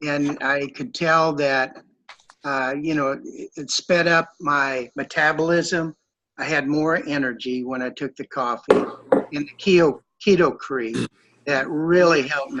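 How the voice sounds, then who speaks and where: A man talks at a fairly slow pace. His pitch is fairly high, and his intonation fairly even. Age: 60s. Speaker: customer sharing testimony. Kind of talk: testimony. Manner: hesitant, many fillers.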